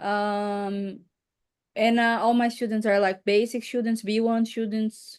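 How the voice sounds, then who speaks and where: A woman with a Portuguese accent speaks at a fairly slow pace in a fairly high pitch, her intonation monotone and flat, against a quiet background. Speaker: English teacher. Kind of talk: casual chat.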